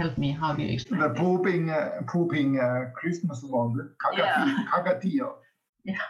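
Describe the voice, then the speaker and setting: Music plays behind a man at a moderate pace. His pitch is fairly high and his intonation lively. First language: Finnish. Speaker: host family parent. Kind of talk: podcast interview.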